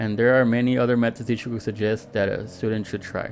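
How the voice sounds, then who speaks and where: Very fast and medium in pitch, a man's speech comes through noticeable background noise. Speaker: teacher. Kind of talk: tutorial. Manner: halting.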